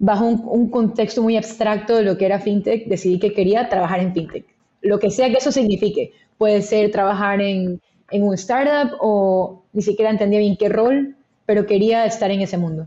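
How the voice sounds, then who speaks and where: A woman speaks in a dark, mellow tone at a moderate pace. Her intonation is fairly even and her loudness very even. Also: medium pitch for a woman. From Ecuador, Guayaquil. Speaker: venture capital investor. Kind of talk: interview.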